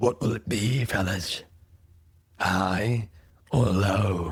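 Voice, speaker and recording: In a put-on character voice, a man speaks very slowly with a raspy, fairly low pitch. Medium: actual play. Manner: smug, taunting.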